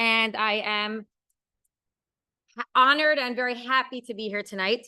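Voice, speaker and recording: Loud and animated, a woman speaks in a fairly high pitch with a bright, sharp tone. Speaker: marriage and family purity teacher. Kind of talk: lecture.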